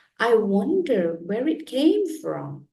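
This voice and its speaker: A woman performs a put-on character voice at a fairly high pitch. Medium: read story. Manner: bright, inquisitive.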